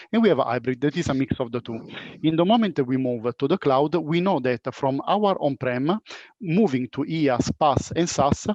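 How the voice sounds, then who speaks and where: A man with a plain, everyday voice speaks at a fairly high pitch with lively intonation. The sound is dry and close with no echo, over a quiet background. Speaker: panel moderator. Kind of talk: panel discussion.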